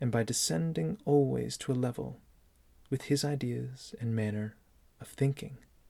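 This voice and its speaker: Very clean recording, silent background, of a man speaking. His voice is medium in pitch with a dark, mellow tone. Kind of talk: sleep story reading. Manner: slow.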